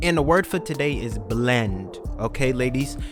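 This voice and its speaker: Background music beneath a man's voice at a medium pitch. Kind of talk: comedic voiceover commentary on a makeup tutorial. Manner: casual, joking.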